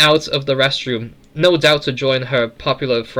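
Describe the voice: This is plain reading aloud. The words are read out plainly.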